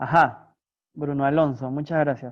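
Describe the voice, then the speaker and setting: A man's fairly high, monotone voice with flat intonation. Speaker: philosophy professor. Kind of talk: lecture.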